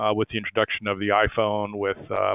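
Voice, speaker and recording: A man with an American accent talks at a fairly quick pace. His voice is fairly low and his intonation monotone and flat. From United States. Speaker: industry analyst, webinar speaker. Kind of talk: webinar presentation. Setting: online webinar. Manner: halting, many fillers.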